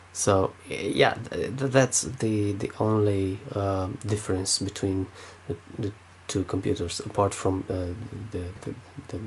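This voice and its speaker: Speaking very slowly, a man with a Romanian accent keeps a fairly low pitch and fairly even intonation. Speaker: tech youtuber. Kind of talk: tech review. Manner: halting, many fillers.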